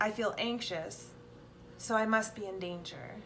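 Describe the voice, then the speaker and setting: At a very slow pace, a woman with a bright, sharp tone and medium pitch speaks with fairly even intonation in audible room echo. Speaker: self-help vlogger. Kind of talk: casual talk. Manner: halting, repeats words; many fillers.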